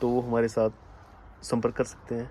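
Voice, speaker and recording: A man talks at a medium pitch in a normal speaking voice. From Himachal Pradesh hills. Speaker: homestay host. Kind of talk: casual chat.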